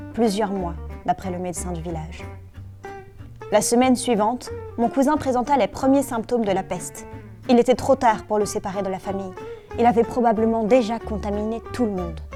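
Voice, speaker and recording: A woman at a fairly quick pace with long, frequent pauses, music in the background. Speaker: author reading her own book. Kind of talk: children's story reading.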